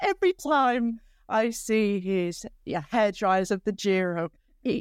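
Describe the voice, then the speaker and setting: A woman's voice swings very widely in pitch, recorded dry and close with no echo. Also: very clean recording, silent background. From northern England, South Manchester. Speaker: cycling commentator. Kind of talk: interview.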